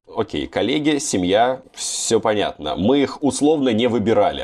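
At a moderate pace, a man's voice makes very wide pitch swings. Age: 20s. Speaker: podcast host. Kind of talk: casual chat.

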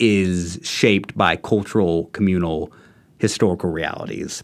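In a very clean recording with a silent background, a man with an American accent speaks in a plain, everyday voice at a moderate pace with ordinary pitch variation. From Texas, Houston. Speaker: graduate student. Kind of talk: casual discussion.

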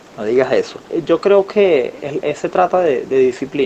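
A man's voice over noticeable background noise. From Venezuela, Falcón state. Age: 20s. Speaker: musician. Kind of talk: interview. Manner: halting, repeats words.

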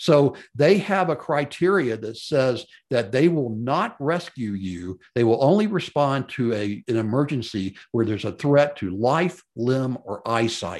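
Speaking fairly slowly with hardly any pauses, a man with a Southern US accent uses a medium pitch and very wide pitch swings. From Memphis, Tennessee. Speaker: podcast host and mountaineering enthusiast. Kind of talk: solo podcast monologue. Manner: casual, rambling, self-deprecating, many fillers.

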